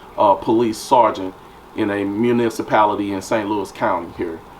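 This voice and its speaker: Against noticeable background noise, a man speaks at a moderate pace with a fairly low pitch and monotone, flat intonation. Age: 50s. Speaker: police sergeant. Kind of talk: interview. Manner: hesitant, many fillers.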